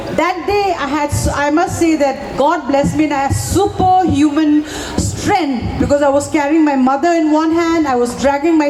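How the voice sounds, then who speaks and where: Amid noticeable background noise and audible room echo, a woman speaks at a high pitch and moderate pace with fairly even intonation. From Manipur, northeast India. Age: 50s. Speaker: violence survivor. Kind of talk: testimony. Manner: halting.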